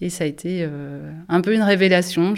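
Here is an ordinary speaking voice, its intonation fairly even. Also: woman. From France, Angers. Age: 40s. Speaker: nurse. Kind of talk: casual chat.

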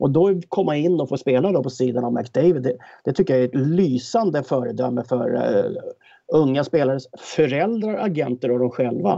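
With lively intonation and a dark, mellow tone, a man speaks at medium pitch and a moderate pace. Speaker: hockey pundit, former player. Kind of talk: casual chat.

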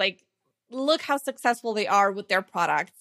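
A bright, sharp tone with lively intonation and a Slovene accent, in a very clean recording with a silent background and a dry, close sound with no echo. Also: woman. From Slovenia. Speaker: online marketing consultant and course creator. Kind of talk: interview.

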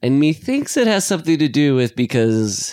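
With an unremarkable speaking voice, the speaker uses lively intonation at a moderate pace in a very clean recording with a silent background. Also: man. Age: 40s. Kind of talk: casual chat.

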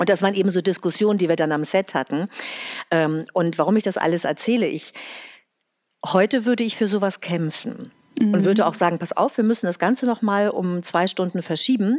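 Long, frequent pauses and ordinary pitch variation. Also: woman, medium pitch for a woman, fairly quick pace. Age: 50s. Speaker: actress and voice-over artist. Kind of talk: casual interview. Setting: video call.

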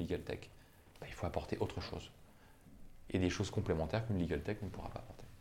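A man with a fairly low, somewhat breathy voice and a dark, mellow tone talks at a very fast pace with ordinary pitch variation. He leaves long, frequent pauses, and his loudness swings widely. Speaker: employment lawyer. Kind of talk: interview. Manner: hesitant, with many fillers.

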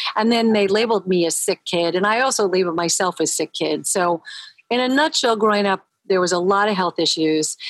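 A woman with an ordinary speaking voice talks at medium pitch, with ordinary pitch variation and very even loudness. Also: fairly quick pace, dry, close sound with no echo. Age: 60s. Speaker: holistic nutritionist. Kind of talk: casual chat. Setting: remote audio call, video off.

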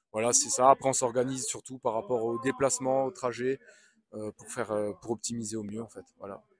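Recorded with a dry, close sound and no echo, a man talks fairly quickly at a medium pitch with fairly even intonation. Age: 30s. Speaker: agricultural machinery sales inspector. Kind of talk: interview. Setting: trade show stand. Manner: halting.

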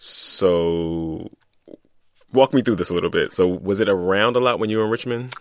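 At a moderate pace, a man talks in a normal speaking voice with an American accent, fairly low in pitch, with ordinary pitch variation. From Philadelphia. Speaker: radio correspondent and podcast host. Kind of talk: casual chat.

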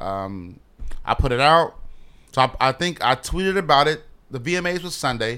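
This man's tone is bright and sharp. He speaks at a moderate pace. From US Midwest, Chicago West Side. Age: 30s. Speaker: clothing designer. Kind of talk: casual interview. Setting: studio. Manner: halting, many fillers.

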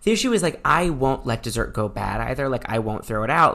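This man has an American accent. Vocal fry runs through his speech. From Chicago suburbs, US Midwest. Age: 20s. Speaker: stand-up comedian. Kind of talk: casual interview chat.

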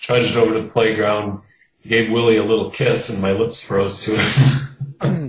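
Speaking with an American accent, a man uses a fairly low, somewhat breathy voice at a moderate pace with fairly even intonation. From US Midwest, Kenosha, Wisconsin. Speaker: mystery novelist. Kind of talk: interview.

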